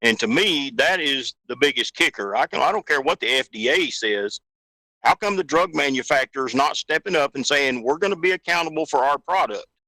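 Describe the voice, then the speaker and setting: Dry and close with no echo, a man's fairly high voice has a bright, sharp tone, vocal fry and lively intonation. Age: 60s. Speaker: truck driver. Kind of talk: casual chat. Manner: animated.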